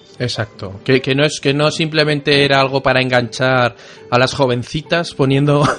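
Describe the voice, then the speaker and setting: A man speaks at a fairly high pitch with very even loudness. Noticeable background noise runs underneath. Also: fairly even intonation, moderate pace. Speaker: podcast host. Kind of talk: casual chat.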